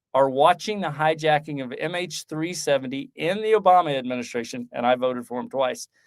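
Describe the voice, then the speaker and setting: On a very clean recording with a silent background, a man with an ordinary speaking voice speaks at a fairly quick pace in a fairly high pitch. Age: 60s. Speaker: former military intelligence officer and author. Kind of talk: podcast interview.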